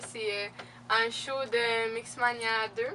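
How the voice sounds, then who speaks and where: With a Quebec accent, a woman speaks in a fairly high pitch and a fairly even intonation. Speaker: beauty and fashion youtuber. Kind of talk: casual Q&A vlog. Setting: home video recording with laptop. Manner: casual, many fillers.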